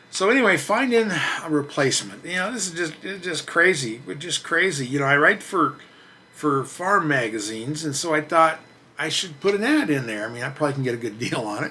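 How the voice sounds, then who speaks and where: A man with a fairly high pitch talks at a fairly quick pace, his pitch swinging very widely over noticeable background noise. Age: 60s. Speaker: truck reviewer and channel host. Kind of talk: casual monologue to camera. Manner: halting, repeats words.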